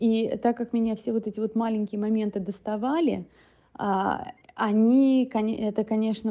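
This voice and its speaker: Against a quiet background, a woman's fairly high voice has a dark, mellow tone and fairly even intonation. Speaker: guest, Russian wife of an American. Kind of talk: recorded personal story.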